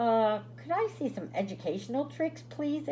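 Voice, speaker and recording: A woman uses a put-on character voice at medium pitch and a moderate pace, with clear background noise behind her. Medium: read story.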